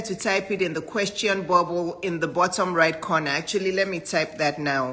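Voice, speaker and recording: Noticeable background noise runs under this recording. A woman speaks at medium pitch and a moderate pace. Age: 50s. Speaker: physician and business coach. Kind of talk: live-stream talk to viewers.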